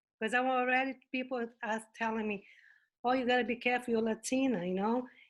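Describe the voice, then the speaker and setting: Over a quiet background, the speaker talks in a Brazilian Portuguese accent. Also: woman. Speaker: webinar participant. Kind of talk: question from audience.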